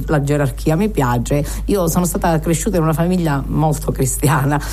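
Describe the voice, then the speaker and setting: A woman talks at a fairly quick pace. Noticeable background noise and audible room echo fill the clip. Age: old. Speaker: radio host. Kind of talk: radio interview. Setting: studio.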